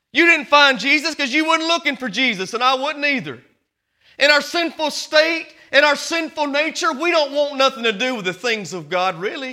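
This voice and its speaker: Speaking in an American accent, a man uses an extremely high pitch, a raised, projected voice, a bright, sharp tone and lively intonation at a moderate pace. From small-town US. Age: 30s. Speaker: Baptist pastor. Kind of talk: Sunday-morning Baptist sermon, preacher working the congregation with call-and-response. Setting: church service. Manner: conversational, earnest preaching with direct appeals to the congregation.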